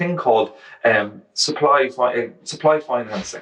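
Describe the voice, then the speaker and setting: With an Irish accent, a man speaks at a fairly high pitch over noticeable background noise. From Ireland. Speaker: journalist. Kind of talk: book festival interview. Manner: fast, with false starts.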